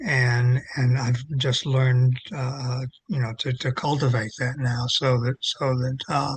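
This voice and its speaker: A man speaks very slowly in a somewhat breathy voice, medium in pitch and monotone, with flat intonation. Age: 80s+. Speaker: retired religion professor and clergy. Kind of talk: interview conversation. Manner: halting, many repetitions.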